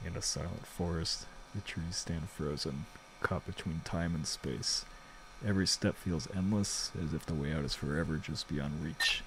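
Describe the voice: Whispering in a put-on character voice, a soft-spoken man sounds breathy at a moderate pace over noticeable background noise.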